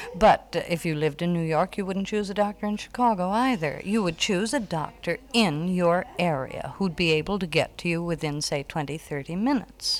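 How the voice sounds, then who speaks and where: A woman with an American accent talks at a moderate pace in a fairly low pitch. The recording is very clean, with a silent background. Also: ordinary pitch variation, hardly any pauses. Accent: American, general. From United States. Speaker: American expatriate living in Wales. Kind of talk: interview.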